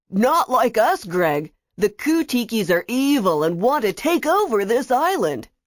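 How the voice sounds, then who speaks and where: A put-on character voice swings very widely in pitch at a moderate pace, its loudness very even. The sound is dry and close with no echo, on a very clean recording with a silent background. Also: woman, fairly high pitch for a woman. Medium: read story.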